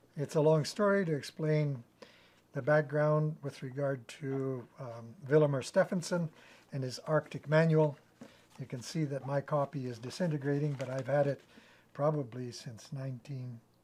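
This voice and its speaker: A man speaks in a fairly high pitch with fairly even intonation. His voice is somewhat breathy. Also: moderate pace. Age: 70s. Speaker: bushcraft instructor. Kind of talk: video talk about books.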